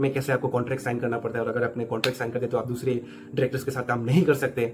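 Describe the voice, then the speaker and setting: Background music under a man's voice at a medium pitch. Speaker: film reviewer, YouTuber. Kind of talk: video review. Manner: casual, code-switching Hindi and English.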